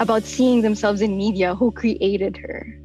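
Over faint music in the background, a woman speaks at a fairly high pitch with ordinary pitch variation in a dry sound with no echo. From Philippines. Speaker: voice actor. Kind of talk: interview answer. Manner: casual, chatty. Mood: warm, happy, proud. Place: booth. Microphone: studio mic.

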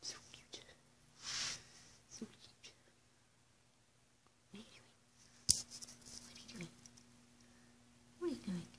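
The speaker whispers at moderate speed, stopping often for long pauses. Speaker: dog owner filming pet. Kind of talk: affectionate talk to a pet. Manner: whispered. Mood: affectionate, playful. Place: home room. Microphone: phone near.

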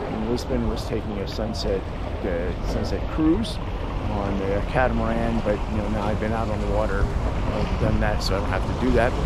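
A man speaks at a moderate pace. The sound is dry with no echo, but loud background noise runs underneath. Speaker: travel vlogger. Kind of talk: casual vlog chat. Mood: relaxed, mildly underwhelmed. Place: waterside. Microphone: phone near.

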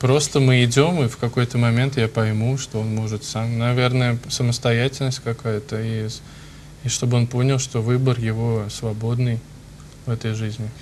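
A man speaks at a medium pitch and a moderate pace. His delivery is monotone and flat, with light background noise. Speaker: priest. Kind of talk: TV talk show discussion. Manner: halting. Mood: calm, thoughtful. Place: studio. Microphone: lapel.

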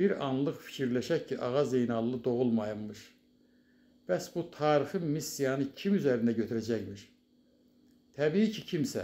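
A man's medium-pitched voice with a dark, mellow tone, lively intonation, and a fairly slow pace. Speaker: writer and publisher. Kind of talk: prepared tribute speech. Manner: formal.

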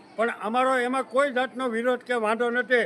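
A man talks at an extremely high pitch. Noticeable background noise runs underneath. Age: 70s. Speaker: farmer leader, activist. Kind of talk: protest statement to press. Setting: outdoors. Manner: animated.

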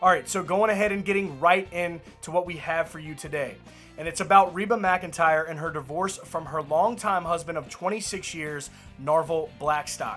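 The voice moves at a moderate pace with ordinary pitch variation and big swings in loudness. Faint music plays in the background. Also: man, high pitch for a man. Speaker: country music news host. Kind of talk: news commentary vlog. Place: home room.

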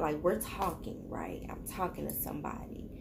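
Noticeable background noise fills the clip. Over it, a woman speaks. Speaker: tarot reader vlogger. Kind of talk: casual vlog chat. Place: home room. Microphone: phone near.

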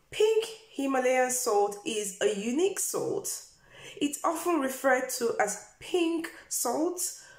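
The pace is very slow, with audible room echo. The background is quiet. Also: woman. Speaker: health vlogger. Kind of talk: informative vlog talk. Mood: warm and friendly. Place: home room. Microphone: phone near.

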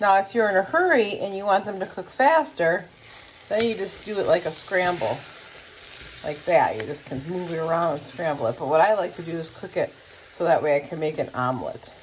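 A woman talks at a fairly quick pace with lively intonation and big swings in loudness. Light background noise can be heard. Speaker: home cook vlogger. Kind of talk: casual cooking tutorial. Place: kitchen. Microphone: phone near.

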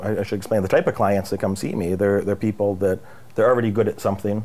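The man's voice has a dark, mellow tone. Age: 40s. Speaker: business coach and interviewer. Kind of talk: interview.

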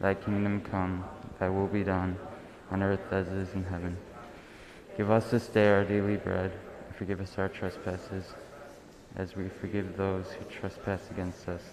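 Over noticeable background noise, a man with a very deep, low pitch talks at a moderate pace in a monotone, flat delivery broken by long, frequent pauses. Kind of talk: prayer reading. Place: hall.

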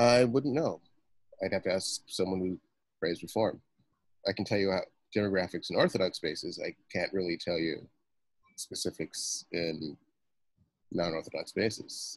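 A man with an American accent at a moderate pace, long, frequent pauses, and a quiet background. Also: dry sound with no echo. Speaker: novelist; guest. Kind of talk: interview. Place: home room. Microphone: video call.

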